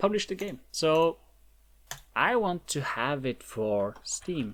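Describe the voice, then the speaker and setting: Someone speaks at a very slow pace with a non-native accent. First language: not English. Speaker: indie game developer. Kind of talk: tutorial. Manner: halting.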